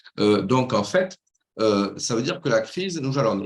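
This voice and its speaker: Very wide pitch swings run through this man's speech. He keeps a moderate pace. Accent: slight southwestern French. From southwestern France, Toulouse. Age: 60s. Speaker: business coach, former banker. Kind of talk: video call interview.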